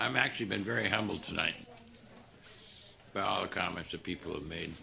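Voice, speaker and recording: Speaking at a fairly quick pace, a man is heard with audible room echo and noticeable background noise. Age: 70s. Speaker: city manager. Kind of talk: farewell remarks at council meeting. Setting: city council meeting.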